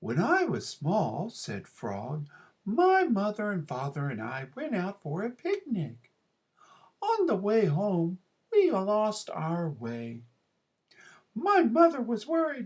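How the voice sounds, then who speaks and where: The voice sits at a fairly high pitch and moves at a fairly slow pace. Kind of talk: classroom read-aloud. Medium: read story. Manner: gentle, warm.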